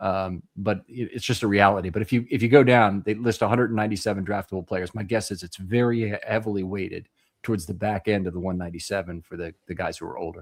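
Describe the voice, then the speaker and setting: Very fast, with hardly any pauses, a man at fairly low pitch keeps fairly even intonation while his loudness swings widely. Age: 60s. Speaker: football draft analyst show host. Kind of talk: live draft panel discussion.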